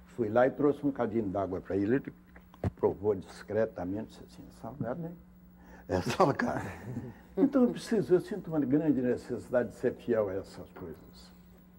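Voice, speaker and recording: A man talks at a moderate pace and medium pitch, with very wide pitch swings and big swings in loudness. Noticeable background noise runs under the recording. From Minas Gerais, Brazil. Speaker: actor. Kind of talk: interview answer. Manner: storytelling, reflective.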